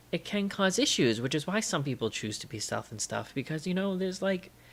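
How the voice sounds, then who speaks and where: Vocal fry runs through this woman's very deep, low-pitched voice. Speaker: vlogger; technical engineer. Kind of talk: casual vlog monologue. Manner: halting, many fillers.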